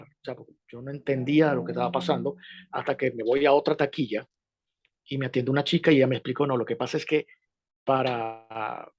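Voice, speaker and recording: A man with a Venezuelan accent speaks at a fairly quick pace and a fairly high pitch with ordinary pitch variation, in a dry, close sound with no echo against a quiet background. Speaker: journalist. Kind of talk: interview.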